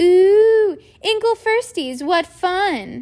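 A woman's cackling, put-on character voice at an extremely high pitch. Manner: gleeful, wicked, cackling.

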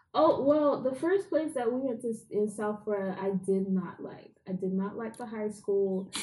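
A woman's somewhat breathy, fairly high-pitched voice with a dark, mellow tone, moderate pace, hardly any pauses and ordinary pitch variation. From London, England, then Jamaica.

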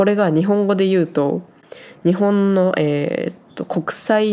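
With a dark, mellow tone, a woman speaks at a fairly low pitch with ordinary pitch variation. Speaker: podcaster working on a farm in Switzerland. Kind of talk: casual solo talk. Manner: casual, chatty.

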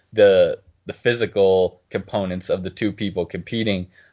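Fairly low in pitch, a man talks with fairly even intonation in an unremarkable speaking voice. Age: 20s. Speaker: podcast co-host. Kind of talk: casual chat.

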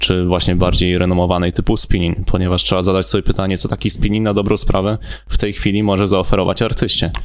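His pitch is very deep and low. Background noise is noticeable behind the man's voice. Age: 20s. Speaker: music artist manager and talent scout. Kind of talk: casual chat. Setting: studio.

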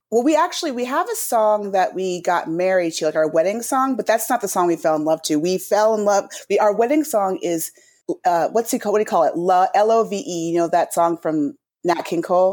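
A woman with a normal speaking voice and medium pitch talks at a fairly quick pace with lively intonation. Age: 40s. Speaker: theater camp founder and CEO. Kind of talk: interview.

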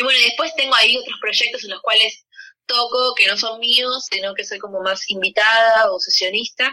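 Her voice high-pitched with a bright, sharp tone, a woman speaks at a moderate pace with ordinary pitch variation. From Argentina, Buenos Aires. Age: 30s. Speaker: musician. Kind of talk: interview.

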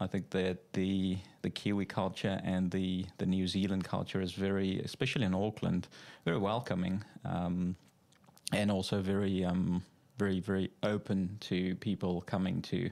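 A man's very deep, low voice with a South African accent, dark and mellow in tone, monotone and flat, at very even loudness, on a very clean recording with a silent background. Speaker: financial adviser. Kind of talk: casual interview. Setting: studio.

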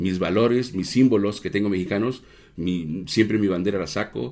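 A man with a fairly low pitch and a dark, mellow tone speaks at a moderate pace. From Mexico. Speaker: restaurant owner. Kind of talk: casual interview.

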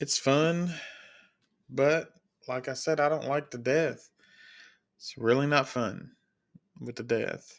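In a very clean recording with a silent background, a man with a Kentucky accent speaks at a very slow pace with a fairly high pitch, fairly even intonation, big swings in loudness, and long, frequent pauses. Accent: Kentucky Southern US, noticeable. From Kentucky, US. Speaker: podcast host, CNA and sheep and goat farmer. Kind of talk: casual solo podcast monologue. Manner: casual, filler-heavy, rambling.

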